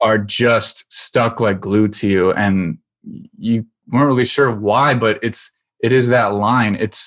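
Recorded dry and close with no echo, against a quiet background, a man talks at a medium pitch with ordinary pitch variation. He has a normal speaking voice and a fairly slow pace. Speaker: podcast producer and musician. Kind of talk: casual chat.

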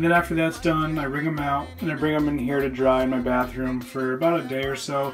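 The speech moves at a fairly quick pace, with clear music in the background. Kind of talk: tutorial. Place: bathroom. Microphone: phone near.

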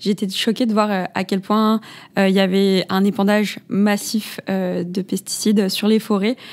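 Against a silent background in a very clean recording, a woman talks at a fairly slow pace and medium pitch with monotone, flat intonation. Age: 20s. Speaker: podcast host. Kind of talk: interview.

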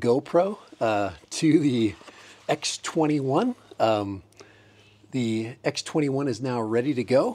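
Speaking with lively intonation, a man has a dark, mellow tone. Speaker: hobbyist reviewer. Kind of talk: casual tutorial vlog chat. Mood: cheerful, amused. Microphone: lapel.

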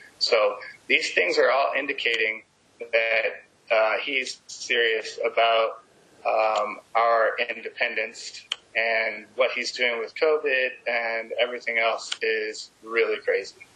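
A man with an American accent speaks at a very slow pace against noticeable background noise. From California. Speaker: activist outreach director. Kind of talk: activist speech.

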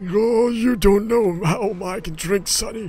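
A put-on character voice is heard here. Its delivery is fairly slow. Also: man, high pitch for a man, fairly even intonation. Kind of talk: comic old-man voice.

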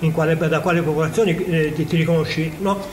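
Over noticeable background noise, a man speaks fairly quickly with a fairly high pitch. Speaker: geneticist. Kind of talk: interview. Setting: on location at a science festival.

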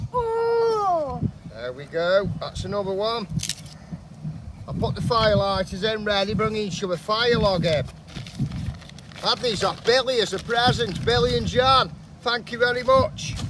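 Over noticeable background noise, a man talks at a fairly slow pace with long, frequent pauses, the sound dry with no echo. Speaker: camping vlogger. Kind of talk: casual vlog chat. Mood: cheerful, laughing. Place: open country.

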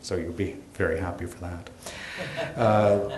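Fairly low-pitched, a man speaks with audible room echo and light background noise. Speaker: gallery host introducing speakers. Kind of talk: event introduction. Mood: light, joking. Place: hall. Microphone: podium.

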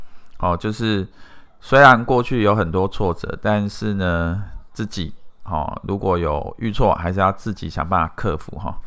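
In a plain, everyday voice, a man speaks at a fairly slow pace with fairly low pitch and ordinary pitch variation. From Taiwan, Pingtung. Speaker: marketing company CEO, YouTuber. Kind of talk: video monologue. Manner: casual, filler-heavy.

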